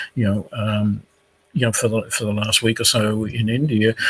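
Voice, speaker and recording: Somewhat breathy and fairly low, a man's voice with an Australian accent stays monotone and flat. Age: 60s. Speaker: career expert. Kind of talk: panel discussion. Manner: hesitant, with many fillers.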